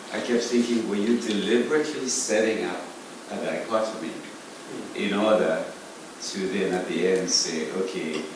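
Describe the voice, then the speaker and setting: Against noticeable background noise and audible room echo, a man speaks at a moderate pace in a fairly low pitch, with ordinary pitch variation and long, frequent pauses. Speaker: choreographer in the audience. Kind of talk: panel Q&A discussion.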